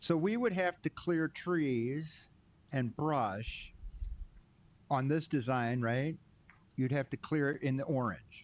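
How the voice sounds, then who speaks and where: Mumbling at a very slow pace with long, frequent pauses, a man speaks at a fairly high pitch with ordinary pitch variation. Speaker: township board chair. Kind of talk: public meeting discussion.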